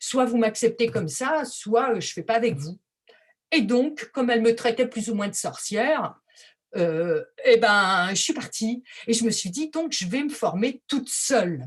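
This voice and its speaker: Fairly high in pitch, a woman talks at a fairly slow pace with lively intonation. She has an unremarkable speaking voice. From France. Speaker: textile artist. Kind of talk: presentation.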